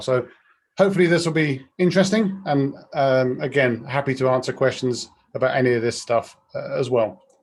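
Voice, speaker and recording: Speaking in a British accent, a man uses a fairly high pitch. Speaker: product director, webinar speaker. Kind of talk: webinar presentation. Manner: fast.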